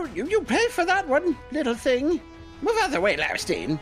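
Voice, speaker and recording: Over clear background music, a put-on character voice cackles in a high pitch with very wide pitch swings at a moderate pace. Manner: cackling, menacing.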